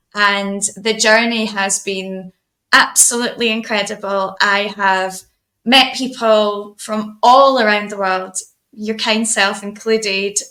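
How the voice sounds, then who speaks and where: In a Scottish accent, a woman speaks very slowly at medium pitch, her bright, sharp tone held to a monotone, flat intonation. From Scotland, Edinburgh. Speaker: artist. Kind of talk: casual chat.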